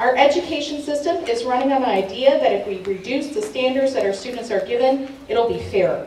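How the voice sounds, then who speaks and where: A woman speaks with a high pitch at a moderate pace. There is audible room echo and light background noise. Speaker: council candidate. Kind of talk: campaign opening statement. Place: hall.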